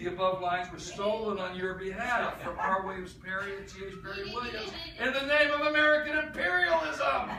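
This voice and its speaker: A raised, projected voice with lively intonation over noticeable background noise. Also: man. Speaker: slam poet. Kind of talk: live poetry talk and performance.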